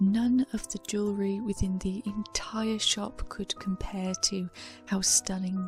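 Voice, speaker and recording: Soft-spoken, a woman in a British accent talks at a fairly slow pace with a medium pitch and fairly even intonation. Music sits in the background. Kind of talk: soft-spoken ASMR storytime.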